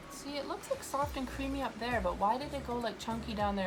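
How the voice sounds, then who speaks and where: The voice shows ordinary pitch variation. Noticeable background noise and audible room echo are present. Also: woman. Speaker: makeup artist vlogger. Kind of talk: makeup tutorial. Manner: stutters a little; casual chatty.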